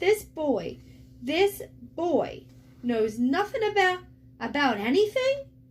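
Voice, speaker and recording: A woman's put-on character voice, growling and high-pitched, at a fairly slow pace. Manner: growling, angry.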